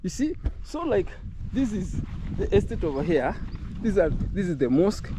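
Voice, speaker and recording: This man talks in a Kenyan accent at a high pitch. He keeps a moderate pace. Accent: Kenyan English with Luhya. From Kenya, Luhya. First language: Luhya. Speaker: travel vlogger. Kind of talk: walking tour vlog. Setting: outdoors. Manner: conversational, animated.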